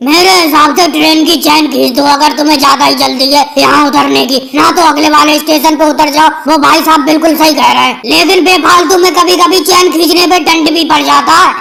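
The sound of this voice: This is a cartoonish character voice. It moves at a fairly quick pace.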